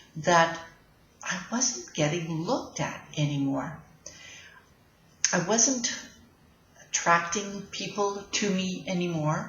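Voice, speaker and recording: Against noticeable background noise and audible room echo, a woman talks at a very slow pace with a fairly low pitch and lively intonation. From Canada. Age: 60s. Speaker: life coach. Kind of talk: casual vlog talk. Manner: halting, with fillers.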